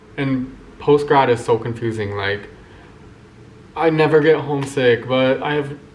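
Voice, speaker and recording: A man's fairly high voice with an American accent, over noticeable background noise. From US Midwest, Kansas City. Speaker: vlogger. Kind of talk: personal vlog monologue. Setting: alone talking to camera. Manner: casual, hesitant with many fillers.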